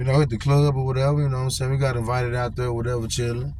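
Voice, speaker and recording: A man with an American accent at medium pitch, very fast pace and fairly even intonation, plus audible room echo. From California. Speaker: storyteller vlogger. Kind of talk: casual storytelling. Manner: casual, repetitive fillers and stammering.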